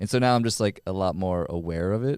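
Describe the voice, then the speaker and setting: In a very clean recording with a silent background, a man with a Minnesota accent speaks in a very deep, low pitch and a dark, mellow tone, the sound dry and close with no echo. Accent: Minnesota accent, drawn-out O's. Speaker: podcast host. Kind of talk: interview conversation. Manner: casual, lots of fillers.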